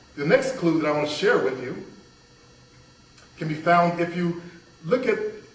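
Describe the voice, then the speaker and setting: Audible room echo and noticeable background noise surround a man with an American accent. He speaks at a high pitch and a moderate pace. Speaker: motivational speaker. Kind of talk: motivational workshop talk.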